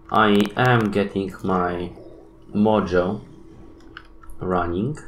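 A man speaks at a very slow pace in a low voice with ordinary pitch variation. Audible room echo surrounds him.

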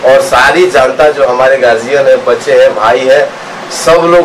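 A man speaks at a moderate pace. Background noise is noticeable. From Bihar, Gopalganj; Bihar. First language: Bhojpuri (speaking Hindi). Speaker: film director; film actor or director. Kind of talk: interview. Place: hall. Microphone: handheld.

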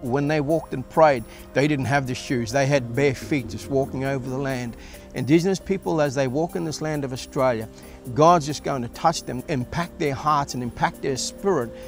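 Man's voice, dry with no echo, over faint background music. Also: ordinary pitch variation, moderate pace. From Atherton Tablelands, Queensland, Australia. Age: 50s. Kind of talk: testimony interview talk. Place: garden.

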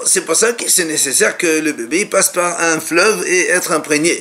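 At a fairly slow pace, a man speaks. His pitch is high. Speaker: religious teacher. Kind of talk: lecture. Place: home room. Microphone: webcam.

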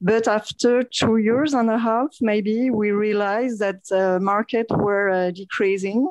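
Fairly slow speech in a French accent with fairly even intonation, dry and close with no echo, against a quiet background. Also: woman. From France. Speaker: entrepreneur, co-founder. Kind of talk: radio interview. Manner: halting.

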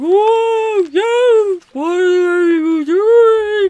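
The speaker uses a put-on character voice with an extremely high pitch. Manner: bewildered, drawn-out whale-like sounds.

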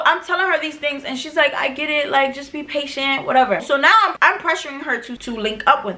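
A raised, projected voice in an American accent, very fast with hardly any pauses and big swings in loudness. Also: woman, high pitch for a woman, ordinary pitch variation. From New York City. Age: 20s. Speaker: vlogger. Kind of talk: storytime talk to camera. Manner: casual, profane. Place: home room.

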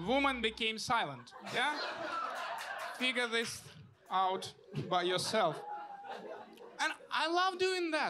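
A man with a Russian accent speaks in a raised, projected voice at an extremely high pitch, with very wide pitch swings and a very slow pace. Long, frequent pauses break up his speech, and there is noticeable background noise. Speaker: stand-up comedian. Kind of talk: stand-up comedy set with audience laughs, jokes and punchlines. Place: stage. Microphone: handheld.

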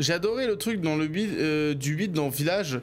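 Speaking at a very slow pace, this man has a fairly high pitch and ordinary pitch variation. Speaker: streamer. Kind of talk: casual live gaming chat. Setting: home studio stream. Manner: casual, rambling, self-deprecating.

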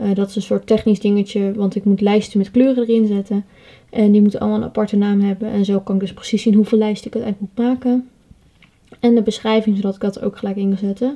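Speaking very fast, a woman with a dark, mellow, somewhat breathy tone keeps a monotone, flat intonation. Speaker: pony owner vlogger. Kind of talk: vlog narration. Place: home room. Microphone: phone near.

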